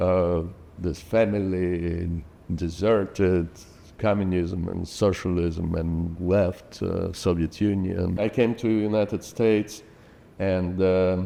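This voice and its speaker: A man with a Russian accent, very deep and low in pitch, in a dark, mellow tone, fairly even in intonation and very slow in pace. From Ukraine. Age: 60s. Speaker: parent and community builder. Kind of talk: interview. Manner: halting.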